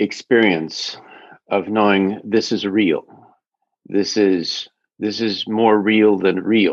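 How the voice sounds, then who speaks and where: Monotone and flat, a man with an American accent speaks in a fairly low pitch. His pace is very slow, with long, frequent pauses. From US Midwest. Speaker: interview guest. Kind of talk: casual chat.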